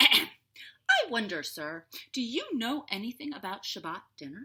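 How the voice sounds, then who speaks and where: In a put-on character voice, a woman speaks at a fairly high pitch with very wide pitch swings. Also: moderate pace. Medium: read story.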